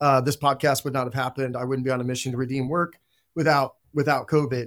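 Delivered with fairly even intonation, an ordinary speaking voice comes through in a very clean recording with a silent background. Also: man. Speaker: company CEO. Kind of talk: panel discussion.

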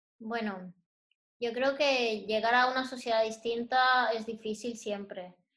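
A woman speaks in a normal speaking voice, fairly high in pitch. Her pace is fairly slow and her intonation fairly even. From Dominican Republic, Santo Domingo. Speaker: interior designer and illustrator. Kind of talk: interview. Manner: calm.

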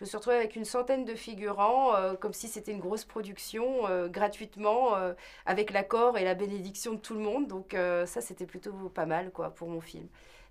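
Speaking at a moderate pace and medium pitch, a woman shows ordinary pitch variation and big swings in loudness. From London and Paris, France. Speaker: film director. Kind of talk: interview. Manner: hesitant, many fillers.

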